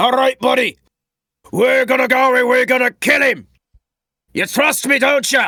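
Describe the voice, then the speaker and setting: Using a put-on character voice, a man sounds gruff at an extremely high pitch, keeping a moderate pace broken by long, frequent pauses. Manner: gruff, proper.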